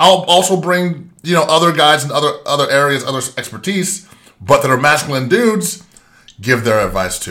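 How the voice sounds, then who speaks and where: The man's fairly high voice is bright and sharp, with vocal fry. His intonation is lively and his pace moderate. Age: 40s. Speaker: podcast host, business owner and Marine veteran. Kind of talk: solo monologue, motivational talk.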